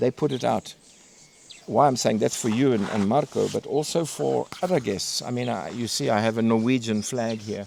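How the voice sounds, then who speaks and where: A man's medium-pitched voice with lively intonation at a moderate pace, over noticeable background noise. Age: 60s. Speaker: safari lodge host. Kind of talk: casual chat. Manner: halting.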